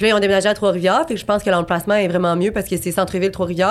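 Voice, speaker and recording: Delivery is very fast. The intonation holds fairly even. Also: woman. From Quebec City, Quebec. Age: 20s. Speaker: abstract painter. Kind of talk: casual interview.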